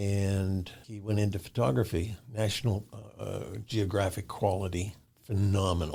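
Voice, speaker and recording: Somewhat breathy and dark, mellow in tone, a man with an American accent speaks at a fairly low pitch with fairly even intonation. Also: moderate pace. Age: 70s. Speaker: musician. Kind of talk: interview. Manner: halting.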